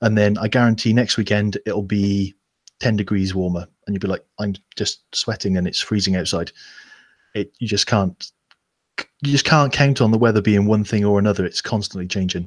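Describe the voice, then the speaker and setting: With a Welsh accent, a man speaks at a fairly quick pace in a fairly low voice with fairly even intonation, in a very clean, dry and close recording with no echo and a silent background. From Wales, Newport. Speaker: Nerf hobbyist YouTuber. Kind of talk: casual chat. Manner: halting.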